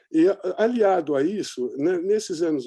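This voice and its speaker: Over a quiet background, a man talks at a moderate pace with lively intonation and a dark, mellow tone. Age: 60s. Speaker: journalist and documentary maker. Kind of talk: interview conversation. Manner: animated.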